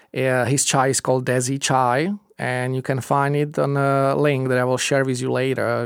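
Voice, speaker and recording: A man speaks at a fairly slow pace with medium pitch and fairly even intonation. The recording is very clean, with a silent background. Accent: Czech. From Czech Republic. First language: Czech. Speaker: podcast host. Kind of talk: casual interview. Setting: studio. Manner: hesitant, many fillers.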